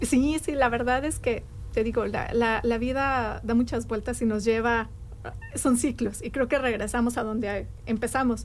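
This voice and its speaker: Music plays in the background as a woman speaks. Her voice is fairly high, her intonation fairly even. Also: fairly slow pace. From Mexico City. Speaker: city community outreach coordinator. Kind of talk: radio interview.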